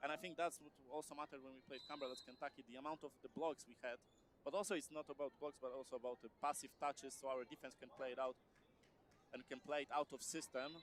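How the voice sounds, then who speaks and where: A man's very fast speech in a Polish accent, fairly high in pitch, with fairly even intonation and big swings in loudness. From Poland. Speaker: sports commentator. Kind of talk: live commentary. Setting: gym. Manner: halting.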